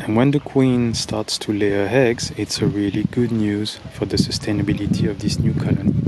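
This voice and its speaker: A man with a non-native accent speaks at a moderate pace and fairly low pitch, with hardly any pauses. His intonation is fairly even, and there is noticeable background noise. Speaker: beekeeper. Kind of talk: narrated video commentary. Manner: slightly halting.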